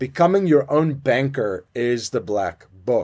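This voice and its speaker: A man with lively intonation and a plain, everyday voice. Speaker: podcast host. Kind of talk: interview.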